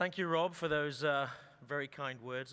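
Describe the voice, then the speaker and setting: Speaking in a British accent, a man delivers his lines at a fairly quick pace with a bright, sharp tone and ordinary pitch variation. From Britain. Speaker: oil and gas executive. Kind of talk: conference keynote speech. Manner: formal.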